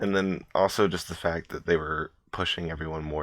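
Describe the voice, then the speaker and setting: Over a quiet background, a man speaks in a very deep, low pitch with monotone, flat intonation. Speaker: YouTuber, aspiring voice actor. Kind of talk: personal vlog. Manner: halting.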